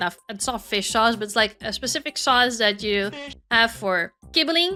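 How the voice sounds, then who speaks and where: A woman talks at a moderate pace in a raised, projected voice with an animated tone and lively intonation. Music plays in the background. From Netherlands. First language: Dutch. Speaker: VTuber streamer. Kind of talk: casual livestream chat.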